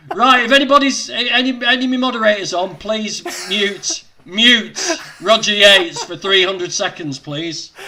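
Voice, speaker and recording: With noticeable noise behind him, a man uses a raised, projected voice at a high pitch, moderate pace, lively intonation and big swings in loudness. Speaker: vegan livestream host. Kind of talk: casual livestream interview talk.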